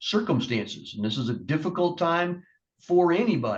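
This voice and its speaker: Here a man talks in a high voice. His pace is moderate. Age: 60s. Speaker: judge. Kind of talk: courtroom sentencing. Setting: courtroom. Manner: measured, with frequent hesitations.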